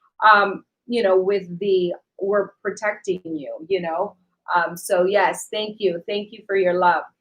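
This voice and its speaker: A woman with a Spanish accent speaks at a fairly slow pace and medium pitch, her loudness swinging widely. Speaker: online talk show co-host, actress. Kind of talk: live-stream chat reading viewer comments. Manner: animated, many fillers.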